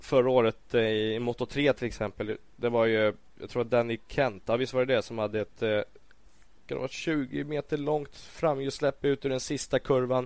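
Over a silent background in a very clean recording, a man with a normal speaking voice talks at medium pitch and a moderate pace with fairly even intonation. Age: 20s. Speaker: MotoGP commentator and former racer. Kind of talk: casual chat.

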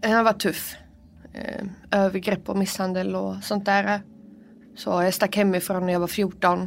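Her medium-pitched voice stays monotone and flat as this woman talks at a fairly slow pace, leaving long, frequent pauses. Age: 20s. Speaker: prison inmate. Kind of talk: interview testimony. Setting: prison visiting room.

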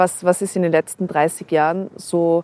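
Fairly level intonation in a woman's fairly low voice. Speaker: podcast host. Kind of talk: interview. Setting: outdoors on a rooftop.

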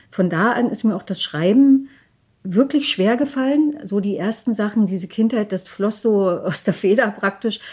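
At a moderate pace, a woman with a fairly high pitch sounds somewhat breathy, her pitch varying an ordinary amount. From eastern Germany, Lusatia (Hoyerswerda, Saxony). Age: 50s. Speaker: author and documentary filmmaker. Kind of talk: interview.

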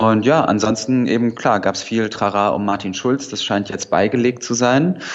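Over noticeable background noise, a man talks at a moderate pace with medium pitch and fairly even intonation. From northern Hesse, Germany. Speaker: journalist. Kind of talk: radio news review chat. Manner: hesitant with filler sounds.

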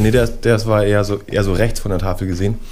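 A man talks at a very fast pace. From Berlin. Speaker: musician. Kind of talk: radio interview. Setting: studio. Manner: halting.

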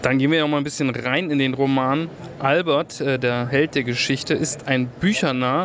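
A man's fairly high pitch, very even loudness and fairly even intonation at a moderate pace, with noticeable background noise. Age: 20s. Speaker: radio host. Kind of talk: interview.

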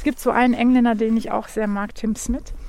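A woman's fairly high voice with a dark, mellow tone, fairly even intonation and a moderate pace. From Germany, Wuppertal. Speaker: gardener and garden designer. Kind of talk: casual interview on a garden walk. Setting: outdoors in snowy nursery garden.

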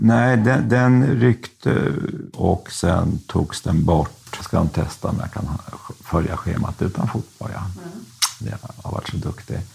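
Over noticeable background noise, a man with a fairly low voice speaks at a fairly slow pace, with very wide pitch swings and big swings in loudness. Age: 60s. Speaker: convicted fraudster, former publisher. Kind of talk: interview.

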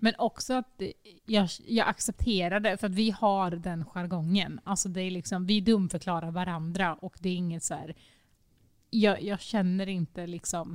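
A woman in a plain, everyday voice, medium in pitch, with fairly even intonation at a moderate pace on a very clean recording with a silent background. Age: 20s. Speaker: podcast co-host. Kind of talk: casual chat. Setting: recording in an echoey, sparsely furnished dining room.

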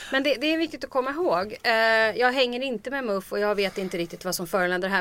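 A woman talks at a very fast pace with lively intonation, captured in a very clean recording with a silent background. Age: 40s. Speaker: political commentator. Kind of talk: casual chat.

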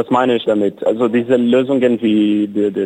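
Dark and mellow, the tone stays low-key. No echo colors the dry, close sound. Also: man. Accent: Portuguese. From Brazil, São Paulo. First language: Portuguese (speaking German). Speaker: cycling activist. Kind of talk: interview. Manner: halting.

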